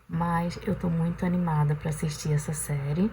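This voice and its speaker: Noticeable background noise behind a female speaker. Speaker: vlogger. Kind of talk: casual vlog talk to camera. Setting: on the balcony at home. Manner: soft-spoken, talking quietly at night.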